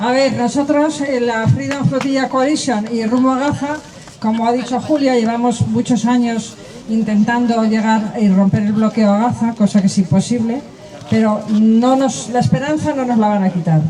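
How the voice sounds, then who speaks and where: Against noticeable background noise, the speech moves at a moderate pace. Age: 70s. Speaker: activist. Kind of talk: speech at a rally.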